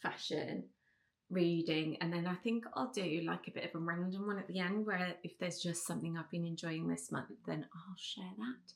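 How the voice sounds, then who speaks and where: A woman talks at a moderate pace in an English accent. Her intonation is fairly even. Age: 40s. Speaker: beauty and lifestyle vlogger. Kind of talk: casual chat. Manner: chatty, many fillers.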